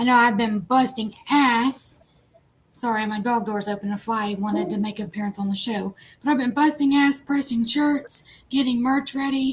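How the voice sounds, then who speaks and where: Speaking fairly slowly in an Appalachian accent, a woman has a high voice and fairly even intonation. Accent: Appalachian American. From West Virginia. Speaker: live show host. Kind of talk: live stream chat.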